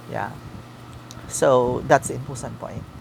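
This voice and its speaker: The speaker has a Visayan Filipino accent, with noticeable background noise. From Philippines, Mindanao (Caraga, Davao Oriental). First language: Visayan (Kinaraga dialect). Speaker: vlogger. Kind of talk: casual self-introduction vlog. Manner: halting, many hesitations.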